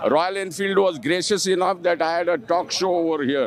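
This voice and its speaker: Fairly even intonation at a moderate pace over noticeable background noise. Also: man. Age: 60s. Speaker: motorcycle rider and author. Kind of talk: live event interview.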